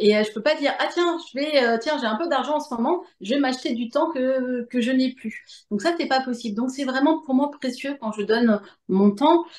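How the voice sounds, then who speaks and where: Pitch moves up and down an ordinary amount. The talking goes at a moderate speed. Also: woman, high pitch for a woman. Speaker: medium and author. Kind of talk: interview answer.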